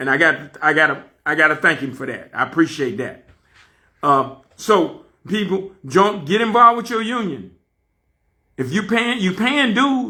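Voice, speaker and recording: A man speaks in a raised, projected voice with an animated tone at a moderate pace. His high pitch swings very widely, and his tone is bright and sharp. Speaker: fired railroad conductor and channel host. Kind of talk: personal rant video. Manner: loud.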